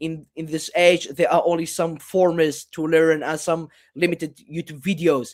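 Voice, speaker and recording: His voice sits fairly high for a man. The man speaks in a flat monotone. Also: moderate pace. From Iraq (Kurdistan region). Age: 20s. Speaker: malware researcher and reverse engineer. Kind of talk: interview conversation. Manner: hesitant, many fillers and repeated yeahs.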